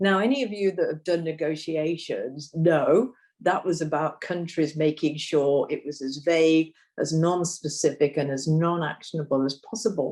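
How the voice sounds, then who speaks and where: A woman with a British accent speaks in a very deep, low pitch with ordinary pitch variation. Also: moderate pace. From Britain. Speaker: nutrition policy expert. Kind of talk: panel discussion.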